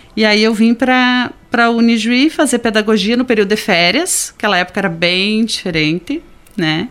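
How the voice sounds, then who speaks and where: This woman has a plain, everyday voice, talking at a moderate pace with lively intonation. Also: fairly high pitch for a woman, very even loudness. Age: 50s. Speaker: special education teacher. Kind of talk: radio interview.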